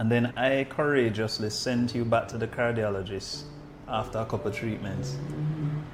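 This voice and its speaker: Music plays in the background as a man speaks at a moderate pace and medium pitch with lively intonation. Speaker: medical doctor, podcast host. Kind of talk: podcast interview, casual conversation.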